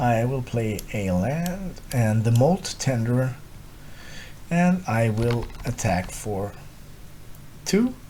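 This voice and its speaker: Speaking with a non-native accent, a man uses lively intonation at a very slow pace, with long, frequent pauses. His voice is somewhat breathy, with a dark, mellow tone. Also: medium pitch for a man. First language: not English. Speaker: gaming content creator. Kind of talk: gameplay commentary. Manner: thinking aloud, hesitant.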